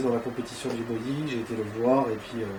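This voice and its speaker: Monotone, flat delivery at a fairly quick pace, with audible room echo and noticeable background noise. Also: man. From northern France (Ardennes). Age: 20s. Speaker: amateur bodybuilder. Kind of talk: interview. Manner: hesitant, many fillers.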